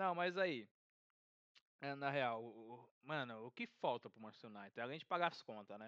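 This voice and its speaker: A man with a medium pitch speaks at a moderate pace with lively intonation, big swings in loudness, and long, frequent pauses, in a dry, close sound with no echo. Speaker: podcast host. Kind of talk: casual chat.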